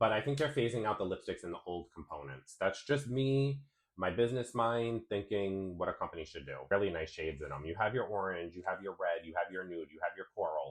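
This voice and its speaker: A man with a fairly low pitch talks at a fairly quick pace, his tone animated and his intonation lively, against a quiet background. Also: hardly any pauses. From Rhode Island, US. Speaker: beauty vlogger. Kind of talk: casual vlog chat and product review.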